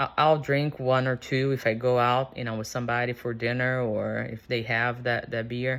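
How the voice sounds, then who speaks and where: A woman with a very deep, low pitch talks at a moderate pace. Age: 40s. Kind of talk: casual unscripted talk to camera.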